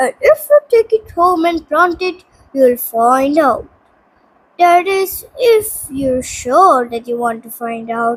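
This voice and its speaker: A woman does a put-on character voice. She speaks at a fairly slow pace and a high pitch. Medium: read story. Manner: cryptic, teasing.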